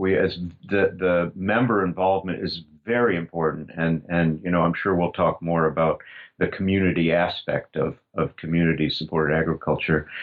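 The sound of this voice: A man speaks with a low pitch. His intonation stays fairly even. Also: moderate pace.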